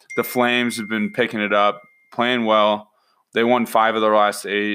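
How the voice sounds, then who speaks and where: A man speaks at a moderate pace with an American accent. His medium pitch stays monotone, with flat intonation. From Utah (Salt Lake City). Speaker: sports betting podcast co-host. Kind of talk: casual chat.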